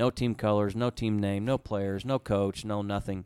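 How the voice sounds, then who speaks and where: With an Oklahoma accent, a man speaks at a fairly quick pace and fairly low pitch in a monotone, flat intonation, the sound dry and close with no echo on a very clean recording with a silent background. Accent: Oklahoma American. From Oklahoma, US (Tulsa area). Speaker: sports team executive. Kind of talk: interview.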